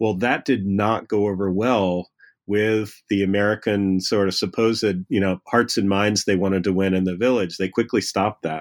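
Here a man speaks at a moderate pace and fairly low pitch, with fairly even intonation. His loudness is very even, and the recording is very clean with a silent background. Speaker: history professor. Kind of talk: interview. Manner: halting.

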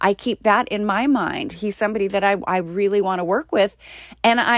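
Speaking at a fairly quick pace in a plain, everyday voice, a woman with a fairly high pitch is heard in a very clean, dry, close recording with a silent background and no echo. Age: 40s. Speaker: actor and podcast host. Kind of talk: solo podcast monologue. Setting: recording pod.

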